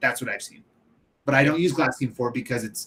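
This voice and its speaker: A man's animated voice at a medium pitch with ordinary pitch variation. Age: 30s. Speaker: window cleaner and show host. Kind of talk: casual live-stream chat. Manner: casual, animated.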